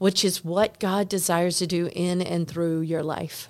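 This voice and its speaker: This woman talks with a Southern US accent at a fairly low pitch. Her pace is very slow. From North Carolina. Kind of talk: casual chat. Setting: in person, same hotel.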